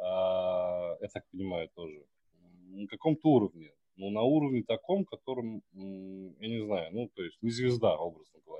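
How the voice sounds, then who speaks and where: A man with a plain, everyday voice speaks at a fairly low pitch. His intonation is lively and his pace moderate. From Russia, Samara. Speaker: podcast host. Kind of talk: casual chat.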